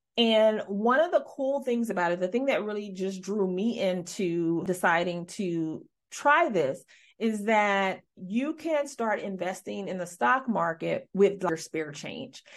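A woman's medium-pitched voice in an American accent, animated in tone and lively in intonation at a fairly slow pace, over a quiet background. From US Midwest. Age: 40s. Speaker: podcast host and former hairstylist entrepreneur. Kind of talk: casual solo monologue. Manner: animated, filler-heavy.

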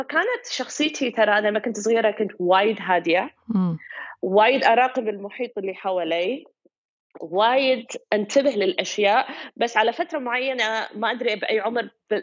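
A woman's fairly high voice in a Kuwaiti accent, at a moderate pace. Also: ordinary pitch variation. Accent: Kuwaiti Gulf Arabic. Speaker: photographer. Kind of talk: interview.

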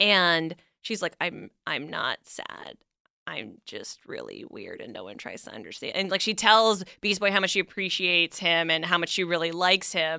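The tone is bright and sharp, with vocal fry and ordinary pitch variation. The pace is moderate, and the loudness swings widely. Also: woman, fairly low pitch for a woman, very clean recording, silent background. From Canada. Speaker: podcast host, comics historian guest. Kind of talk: casual chat.

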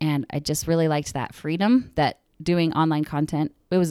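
A woman with an American accent speaks at a very deep, low pitch in a dark, mellow tone. Her intonation is fairly even, and the sound is dry and close with no echo. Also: very clean recording, silent background. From Arizona. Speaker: social media marketing consultant. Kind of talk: casual chat. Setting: studio.

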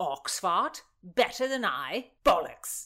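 A woman puts on a character voice with a bright, sharp tone and a fairly low pitch. She speaks at a slow pace with big pitch swings.

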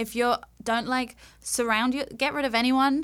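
Heard in a very clean recording with a silent background, a woman speaks with a London accent. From London, England. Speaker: makeup artist. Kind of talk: casual interview chat.

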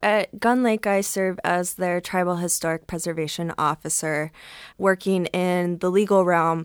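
A woman with an American accent and a normal speaking voice talks at a moderate pace and fairly low pitch. The recording is very clean with a silent background and a dry, close sound with no echo. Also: fairly even intonation. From US Midwest, Cleveland, Ohio. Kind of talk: panel discussion.

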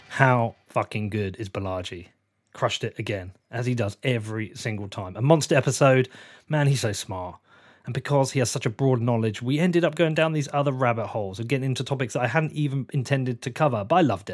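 Very rapid male speech, mid-range in pitch, its melody varying normally. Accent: southern English. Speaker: podcast host. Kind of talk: interview. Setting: remote call.

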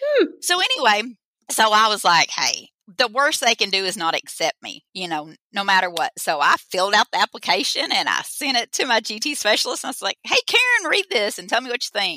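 A woman with an Arkansas accent talks at a fairly quick pace in a bright, sharp tone. Her pitch swings very widely. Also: dry, close sound with no echo. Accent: Southern US (Arkansas). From Arkansas, US South. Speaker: teacher. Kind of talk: casual interview chat. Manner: animated, passionate.

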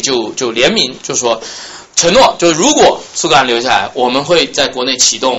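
Against noticeable background noise, a man sounds animated, his pitch swinging very widely. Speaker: journalist and history student. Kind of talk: lecture. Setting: salon talk with small audience.

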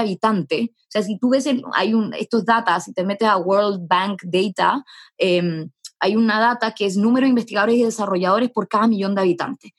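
Somewhat breathy and at a medium pitch, a woman talks at a fairly quick pace with ordinary pitch variation, recorded dry and close with no echo. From Chile. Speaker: startup founder. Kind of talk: interview.

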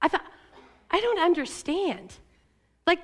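An American woman with an extremely high voice speaks with very wide pitch swings. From US Pacific Northwest, Eastern Oregon. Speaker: pastor. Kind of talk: sermon. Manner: casual, conversational with fillers.

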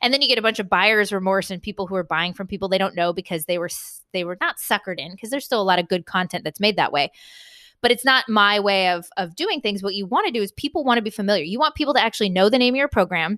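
Very fast and bright, sharp in tone, a woman speaks at medium pitch with a Californian accent, her sound dry and close with no echo against a quiet background. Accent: General American (Californian). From US West Coast, San Diego, California. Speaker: entrepreneur, author and podcaster. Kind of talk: interview conversation.

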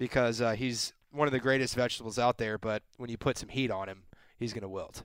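Recorded with a dry, close sound with no echo, a man with a normal speaking voice and medium pitch talks at a fairly quick pace with fairly even intonation. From Texas, San Antonio. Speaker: podcast guest. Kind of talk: casual chat. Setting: studio.

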